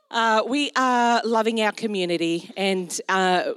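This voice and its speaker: This woman speaks with an Australian accent. Her pitch is medium. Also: dry, close sound with no echo. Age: 40s. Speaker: pastor. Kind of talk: sermon. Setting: church.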